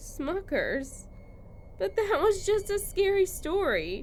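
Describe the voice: A woman uses a put-on character voice at an extremely high pitch. She speaks at a slow pace with big pitch swings.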